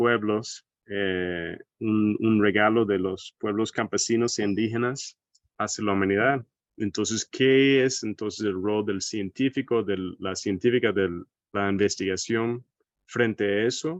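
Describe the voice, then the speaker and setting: The speech comes at a fairly slow pace with an American accent and fairly even intonation. The sound is dry and close with no echo, against a quiet background. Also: man. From United States. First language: English (speaking Spanish). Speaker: agroecology researcher. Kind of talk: seminar lecture. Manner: hesitant, with fillers.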